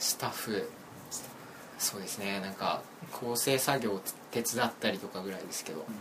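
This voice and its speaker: Amid noticeable background noise, a man speaks with ordinary pitch variation and long, frequent pauses. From Hyogo, western part near Himeji. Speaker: student, critic of online culture. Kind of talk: casual chat.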